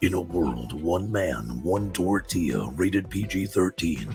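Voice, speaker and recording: A man's put-on character voice, very deep and low, with a dramatic tone. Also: fairly slow pace. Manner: dramatic, epic.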